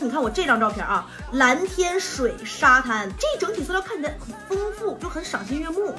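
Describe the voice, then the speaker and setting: A woman with a Northeastern Chinese accent speaks in a raised, projected voice, high in pitch with very wide pitch swings. She keeps a moderate pace with hardly any pauses while music plays in the background. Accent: Northeastern Mandarin. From Northeast China. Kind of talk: casual tutorial talk to camera. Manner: chatty, humorous.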